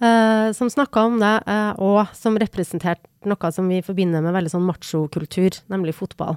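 With an ordinary speaking voice, a woman talks at a moderate pace and a medium pitch, with ordinary pitch variation and hardly any pauses. The recording is very clean, with a silent background and a dry, close sound with no echo. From Norway, Trondheim (Trøndelag). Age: 40s. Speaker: podcast co-host. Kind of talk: casual chat.

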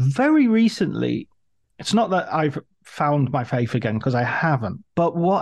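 Over a quiet background, a man with an English accent talks at a fairly slow pace and a fairly high pitch. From England. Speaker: podcast host. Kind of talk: interview.

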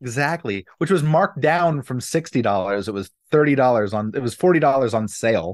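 With an ordinary speaking voice, a man talks at a fairly quick pace and a medium pitch. His intonation is lively, and he leaves hardly any pauses. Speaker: podcast co-host. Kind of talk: casual chat.

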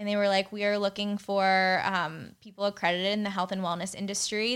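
A woman with an American accent and a plain, everyday voice speaks at a fairly quick pace and medium pitch, with fairly even intonation, on a very clean recording with a silent background. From Pittsburgh, Pennsylvania. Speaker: skincare entrepreneur. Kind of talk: casual interview chat. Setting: studio, in person.

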